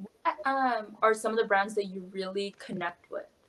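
At a moderate pace, this woman talks in an unremarkable speaking voice, fairly high in pitch and with ordinary pitch variation. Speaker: podcast host. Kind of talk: casual interview chat.

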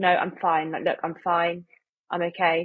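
A woman talks in an English accent. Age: 20s. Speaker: medical student. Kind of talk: casual chat.

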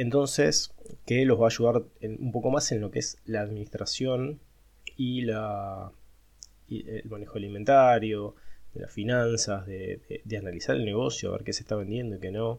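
Moderate pace with ordinary pitch variation. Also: man, medium pitch for a man. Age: 40s. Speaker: accountant and startup founder. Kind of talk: monologue podcast. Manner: hesitant, many fillers.

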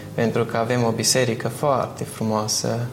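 A man is speaking amid noticeable background noise. Room echo is audible too. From Romania, Bistrița-Năsăud. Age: young. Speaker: architecture student. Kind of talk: interview conversation.

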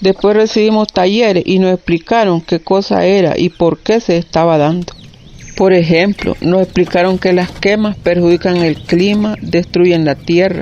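Speech comes at a fairly slow pace and very even loudness over noticeable background noise. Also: woman, medium pitch for a woman, fairly even intonation. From Nicaragua, Estelí. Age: 50s. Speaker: coffee farmer. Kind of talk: testimony.

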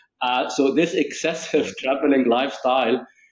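A man talks in an Arabic accent at a medium pitch. His intonation stays fairly even. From Egypt. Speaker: tech executive. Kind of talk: interview.

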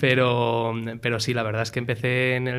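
Speaking at a medium pitch, a man keeps to a monotone, flat intonation. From Spain and Miami, USA. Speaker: startup CEO. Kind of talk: casual interview.

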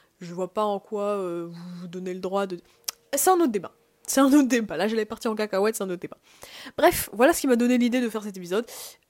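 A woman speaks at a very fast pace with lively intonation. Her voice sits fairly high and swings widely in loudness. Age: young. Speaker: podcaster, university student. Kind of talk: casual solo monologue. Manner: hesitant, many fillers.

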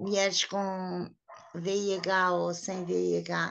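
With flat, monotone intonation, a woman talks at a medium pitch. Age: 50s. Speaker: woman living with HIV, association member. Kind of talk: personal testimony.

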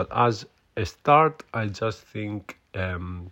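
This is a man talking. He speaks with a Greek accent. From Greece. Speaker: podcast host. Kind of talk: casual solo monologue. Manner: halting, many fillers and repetitions.

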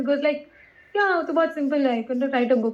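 A woman's high-pitched voice rises and falls with lively intonation. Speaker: podcast co-host. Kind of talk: casual chat.

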